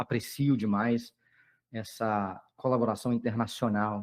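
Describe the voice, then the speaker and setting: Ordinary variation marks this man's pitch. It sits in the medium range. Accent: Minas Gerais. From Brazil, Minas Gerais. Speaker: periodontist lecturer. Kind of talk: lecture. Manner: halting, many fillers. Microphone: echo, audio doubling.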